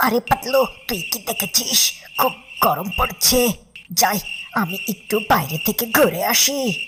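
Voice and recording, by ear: A cartoonish character voice, fairly high in pitch and fairly slow in pace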